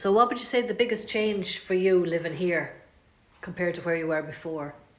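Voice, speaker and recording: At a moderate pace, the speaker uses ordinary pitch variation over noticeable background noise. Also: woman. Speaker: oral history interviewer. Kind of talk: interview questions.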